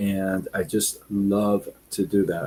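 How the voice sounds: A man talks slowly in a low pitch. His tone is dark and mellow, with a slightly husky edge.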